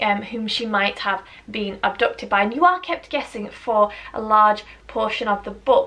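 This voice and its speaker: A woman's fairly high voice with a British accent at a moderate pace. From UK. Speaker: book reviewer. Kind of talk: casual talk to camera.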